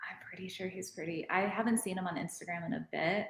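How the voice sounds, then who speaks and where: A woman with a normal speaking voice and an American accent talks at a medium pitch and a moderate pace. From Arizona, Phoenix area. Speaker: off-roading enthusiast guest. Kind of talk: casual chat.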